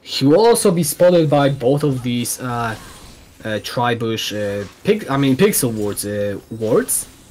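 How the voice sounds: At a fairly slow pace, a man with a medium pitch and a slightly mellow tone speaks with big pitch swings.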